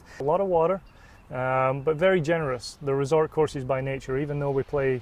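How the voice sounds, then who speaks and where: Here a man with an American accent speaks at a fairly quick pace. His medium-pitched voice keeps fairly even intonation. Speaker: golf resort sales manager. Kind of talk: interview. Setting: outdoors on a golf course.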